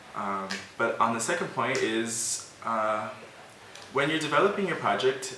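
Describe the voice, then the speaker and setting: Someone with an American accent speaks at a moderate pace, with noticeable background noise and audible room echo. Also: man. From United States. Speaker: volunteer presenter of online course. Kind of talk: educational presentation. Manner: casual with fillers.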